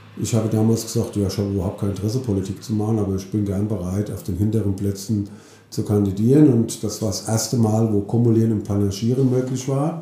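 A man's fairly low, somewhat breathy voice with a dark, mellow tone, a very fast pace, fairly even intonation and audible room echo. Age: 50s. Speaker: mayor. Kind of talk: interview.

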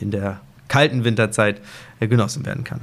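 This is an unremarkable speaking voice from a man at a medium pitch. His intonation is fairly even and his pace moderate. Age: 30s. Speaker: hotel director. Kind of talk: casual interview. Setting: outdoors on hotel suite balcony.

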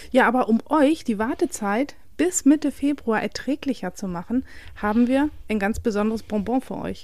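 With lively intonation and an animated tone, a woman speaks in a high pitch. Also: moderate pace. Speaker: podcast co-host. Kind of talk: casual chat.

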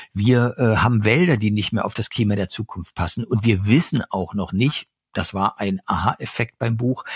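A somewhat breathy man's voice at medium pitch and a fairly slow pace. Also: very clean recording, silent background. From eastern Germany. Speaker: journalist and author. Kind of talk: interview. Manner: hesitant, many fillers.

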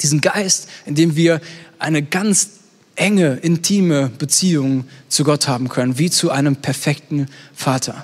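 A man with an unremarkable speaking voice talks at a fairly slow pace in a fairly high pitch, keeping very even loudness and ordinary pitch variation. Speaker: youth pastor. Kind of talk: sermon; fervent prayer, spoken aloud to God as a father, intimate and heartfelt. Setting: online stream with live chat. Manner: earnest, gentle and pleading, warm, slower, with pauses.

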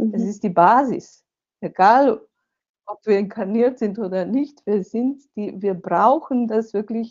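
A woman speaks in a Slovenian accent at a fairly slow pace. Her voice is fairly high, with ordinary pitch variation. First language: Slovenian (speaking German). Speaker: author and seminar leader. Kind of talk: interview.

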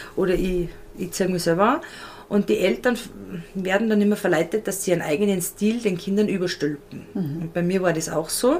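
A woman at a medium pitch and moderate pace, with noticeable background noise. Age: 30s. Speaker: style and colour consultant. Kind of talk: casual interview.

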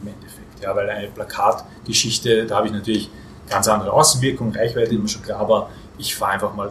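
Amid noticeable background noise, a man talks at a very fast pace with big swings in loudness. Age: 40s. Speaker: market research agency owner. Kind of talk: podcast interview. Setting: hotel.

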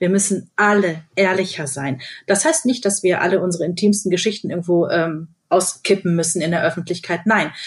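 A woman talks at a fairly quick pace in a medium pitch with ordinary pitch variation. Her voice is somewhat breathy. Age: 40s. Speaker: radio host. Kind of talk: casual chat.

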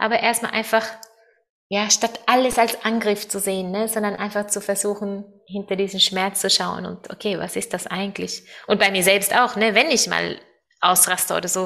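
In a Norwegian accent, a woman with a medium-pitched voice talks at a moderate pace with flat, monotone intonation. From Norway. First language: Norwegian (speaking German). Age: 30s. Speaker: world traveler and event organizer. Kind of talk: interview. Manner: halting, searching for German words.

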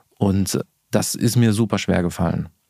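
With ordinary pitch variation, a man speaks in a very clean recording with a silent background. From Ruhr area, Bochum. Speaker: marketing executive. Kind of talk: interview.

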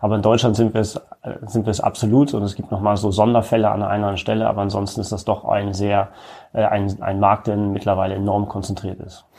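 The man speaks at a fairly quick pace in a monotone, flat intonation. His tone is dark and mellow. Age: 30s. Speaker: retail executive. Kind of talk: interview.

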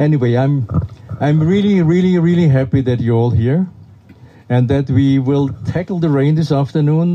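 A German accent at a moderate pace, with ordinary pitch variation. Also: man. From Austria. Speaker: festival director. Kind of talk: welcome speech to audience. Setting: outdoors in rain.

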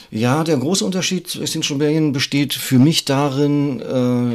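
This man has a normal speaking voice with ordinary pitch variation. He talks at a fairly slow pace. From northern Germany, Greifswald. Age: 50s. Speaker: climate activist and visual artist. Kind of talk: interview conversation. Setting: office.

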